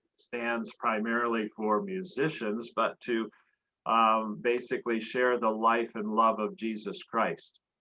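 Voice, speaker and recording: Speaking at a fairly slow pace, a man has a bright, sharp tone, a medium pitch and ordinary pitch variation. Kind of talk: personal life story talk. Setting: video call.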